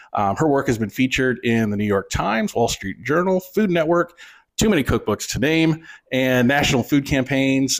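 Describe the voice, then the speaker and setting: The speaker has an ordinary speaking voice with an American accent, talking at a fairly quick pace with lively intonation. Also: man. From Michigan, US. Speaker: podcast host. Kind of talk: interview.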